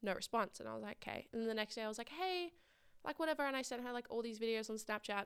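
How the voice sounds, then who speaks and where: A fairly high-pitched woman with an Australian accent, very fast pace and lively intonation. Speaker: podcast host. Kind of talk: casual chat.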